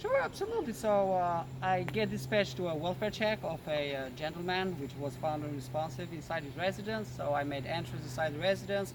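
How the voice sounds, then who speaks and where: A man with an Albanian accent speaks at a fairly quick pace and fairly high pitch. Room echo is audible. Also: ordinary pitch variation, hardly any pauses. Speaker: police officer. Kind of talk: interview.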